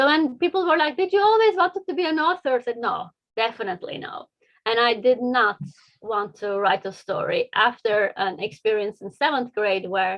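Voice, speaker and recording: At a moderate pace, a woman with a Turkish accent speaks at a fairly high pitch with very wide pitch swings. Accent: non-native, Turkish. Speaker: engineer and children's book author. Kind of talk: interview. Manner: hesitant, many fillers.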